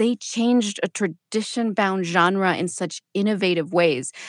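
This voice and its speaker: A woman with an American accent, an ordinary speaking voice at medium pitch and a fairly slow pace, in a very clean recording with a silent background and a dry, close sound with no echo. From US-Mexico border, El Paso, Texas. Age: 30s. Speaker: podcast host and writer. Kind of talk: radio interview.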